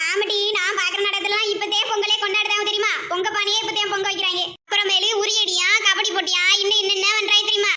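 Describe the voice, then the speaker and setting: A cartoonish character voice delivers its lines in a flat monotone. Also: woman, extremely high pitch for a woman, moderate pace. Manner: blunt, mocking.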